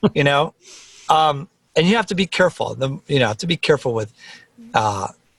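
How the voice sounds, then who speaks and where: A man with an American accent talks at a fairly quick pace in a fairly high pitch, his intonation lively, on a very clean recording with a silent background and a dry, close sound with no echo. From New Jersey (Teaneck). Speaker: music producer. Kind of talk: casual interview chat. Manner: loud; animated.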